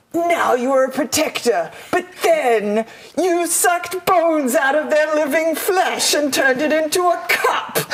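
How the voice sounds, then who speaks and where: The speaker uses a high, put-on character voice at a moderate pace. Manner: spooky, ominous.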